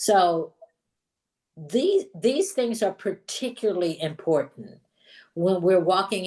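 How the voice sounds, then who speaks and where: At a very slow pace, a woman with an American accent talks in a fairly low pitch with ordinary pitch variation against a quiet background. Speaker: pastor and DEI trainer. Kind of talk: workshop lecture. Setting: online video gathering. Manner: conversational, with frequent restarts and fillers.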